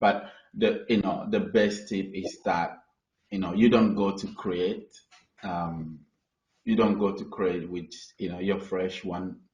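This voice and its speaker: A man with a non-native accent speaks at a fairly low pitch and fairly slow pace, with long, frequent pauses. Audible room echo is present. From Ghana. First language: not English. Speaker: artist. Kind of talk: webinar panel discussion. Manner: halting, searching for words.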